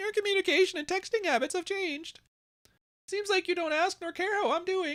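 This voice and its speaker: A squeaky, put-on character voice at an extremely high pitch moves along at a fairly quick pace. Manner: stupid, mocking voice.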